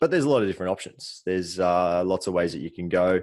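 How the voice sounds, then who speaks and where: Over a quiet background, a man with an Australian accent speaks in a relaxed tone at a very deep, low pitch. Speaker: podcast co-host, soft tissue therapist. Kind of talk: casual chat. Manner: relaxed, with frequent fillers.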